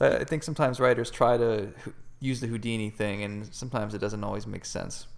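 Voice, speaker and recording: Very fast speech comes from a man at a medium pitch. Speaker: comic book writer and podcast co-host. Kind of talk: casual chat. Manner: animated.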